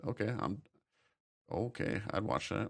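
Against a quiet background, a man with a fairly low pitch and vocal fry speaks at a moderate pace. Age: 30s. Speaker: podcast host. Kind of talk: casual chat. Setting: livestream.

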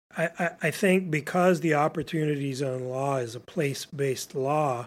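A man with a normal speaking voice and a fairly high pitch talks at a moderate pace with ordinary pitch variation, on a very clean recording with a silent background. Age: 50s. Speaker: startup founder. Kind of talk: interview. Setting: host's office.

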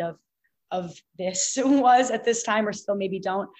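A woman's normal speaking voice with an American accent, moderate pace and fairly even intonation. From US Northeast (Boston). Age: 20s. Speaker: fitness influencer and student. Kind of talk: casual interview.

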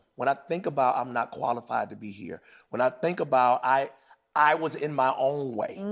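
With an American accent, a man talks at a moderate pace with medium pitch and ordinary pitch variation, a plain, everyday voice. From North Carolina. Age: 40s. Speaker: gospel singer. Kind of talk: casual chat.

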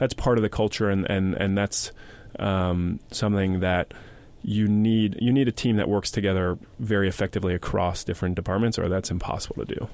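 A man speaks in a plain, everyday voice at a fairly low pitch and a moderate pace. His intonation is fairly even, and the recording is very clean with a silent background. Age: 20s. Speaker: media company CEO. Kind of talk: interview.

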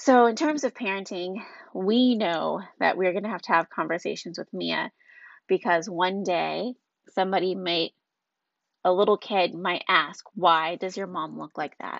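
A woman has an unremarkable speaking voice, with medium pitch and ordinary pitch variation. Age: 20s. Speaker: podcast host, mother. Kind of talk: solo monologue podcast. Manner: casual, conversational.

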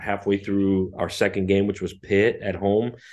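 Over a quiet background, a man speaks at a fairly low pitch. His intonation is monotone and flat. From Russia. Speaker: college football head coach. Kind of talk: interview.

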